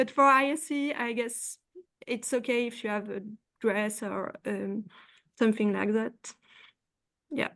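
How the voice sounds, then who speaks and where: Speaking with a French accent, a woman talks at a fairly slow pace with long, frequent pauses. Her pitch is fairly high, and the background is quiet. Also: ordinary pitch variation. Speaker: postdoctoral researcher. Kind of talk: panel discussion. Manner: halting.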